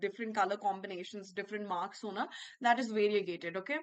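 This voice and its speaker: A woman with a Bihar accent speaks in a bright, sharp tone. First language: Bhojpuri. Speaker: English educator. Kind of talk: online class lecture. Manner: repetitive, code-switching Hindi-English.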